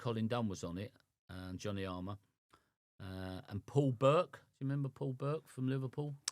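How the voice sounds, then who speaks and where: With an English accent, a man speaks at a moderate pace in a medium pitch with ordinary pitch variation. The recording is very clean, with a silent background. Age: 60s. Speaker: boxing cut man. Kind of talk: casual chat.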